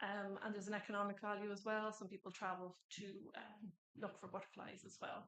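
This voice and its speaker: A woman with an Irish accent speaks at a fairly quick pace and medium pitch, her intonation monotone and flat. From Ireland. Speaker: government environment officer. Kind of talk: conference presentation.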